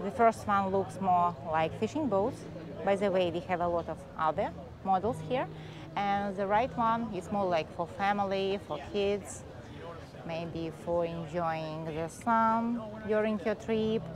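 A woman speaks at a fairly slow pace with ordinary pitch variation. The sound is dry with no echo, and background noise is noticeable. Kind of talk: casual vlog commentary. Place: waterside. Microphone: phone near.

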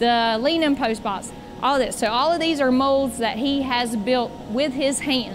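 Music plays behind a woman who speaks at a high pitch and moderate pace with fairly even intonation. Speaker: boat company staff guide. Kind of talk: factory tour explanation. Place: factory. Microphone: lapel.

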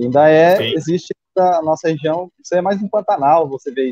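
Dry with no echo, a man's fairly high voice has a dark, mellow tone, a fairly quick pace and ordinary pitch variation. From Rondônia, Brazil. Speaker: regional news site owner. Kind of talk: live stream interview. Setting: video call. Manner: halting. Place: home room. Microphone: video call.

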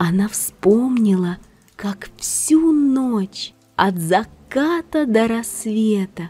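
Lively intonation runs through this voice. It is plain reading aloud.

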